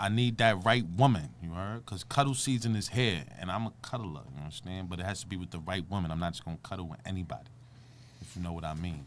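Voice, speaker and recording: This man speaks with a Brooklyn accent in a very deep, low pitch. His pace is very fast, and his loudness swings widely. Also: lively intonation. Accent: New York, Brooklyn. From Brooklyn, New York (Bed-Stuy). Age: 30s. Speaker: comedian. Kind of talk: casual interview. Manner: energetic.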